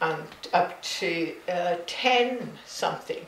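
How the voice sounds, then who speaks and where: Heard with audible room echo and light background noise, a woman speaks in a Hebridean accent at a fairly low pitch with fairly even intonation. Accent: Scottish Hebridean. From Isle of Lewis, Outer Hebrides, Scotland. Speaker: artist. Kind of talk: interview answer. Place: home room. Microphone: camera far.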